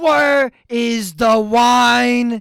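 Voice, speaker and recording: Someone shouts in a put-on character voice at a fairly high pitch. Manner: yelling.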